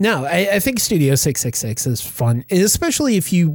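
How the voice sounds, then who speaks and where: A man's somewhat breathy voice at a moderate pace, with very wide pitch swings. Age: 40s. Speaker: horror podcast host. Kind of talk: casual chat.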